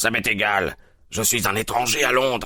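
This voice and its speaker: Growling in a put-on character voice, a man speaks at medium pitch and a moderate pace with fairly even intonation. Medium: read story.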